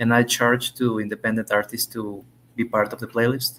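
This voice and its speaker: With a Spanish accent, a man of medium pitch talks at a very fast pace. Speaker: English language student. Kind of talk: conversation lesson. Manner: halting.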